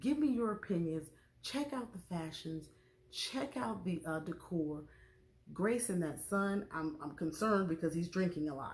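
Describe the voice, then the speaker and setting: The voice moves through very wide pitch swings and sounds somewhat breathy. It speaks at a fairly slow pace. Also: woman. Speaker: YouTube TV show reviewer. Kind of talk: casual vlog review. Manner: soft-spoken.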